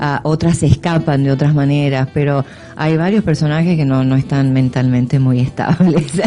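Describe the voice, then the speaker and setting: Music plays in the background as a woman speaks with an Argentine accent. Her very deep, low pitch follows a fairly even intonation. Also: moderate pace. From Argentina. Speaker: actress. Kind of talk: radio interview. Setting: radio studio. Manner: hesitant, filler-heavy.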